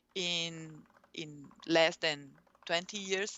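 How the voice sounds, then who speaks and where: A woman speaks with a Portuguese accent. Her pace is very slow. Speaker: urban planning researcher. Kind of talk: academic presentation. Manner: halting, many fillers.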